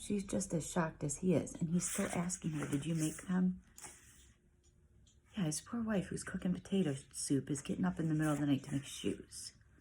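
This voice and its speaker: A woman whispering at a moderate pace, with vocal fry. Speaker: parent reading picture books aloud. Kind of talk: reading aloud with commentary.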